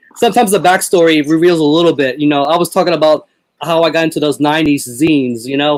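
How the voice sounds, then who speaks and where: His pitch is fairly high for a man. He speaks at a very fast pace. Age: 40s. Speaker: metal podcast host. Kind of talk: casual chat.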